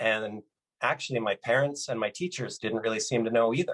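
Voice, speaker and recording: Speaking in an ordinary speaking voice at a fairly quick pace, a man with a Canadian accent has a medium pitch, ordinary pitch variation and a dry, close sound with no echo. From Canada, British Columbia. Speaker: motivational speaker. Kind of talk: keynote talk. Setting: virtual conference.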